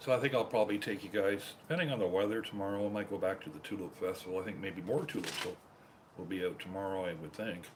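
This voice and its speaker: A man talks at a very fast pace. He has a Canadian accent. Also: fairly low pitch for a man, ordinary pitch variation. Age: 60s. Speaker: live streamer. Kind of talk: casual live-stream chat.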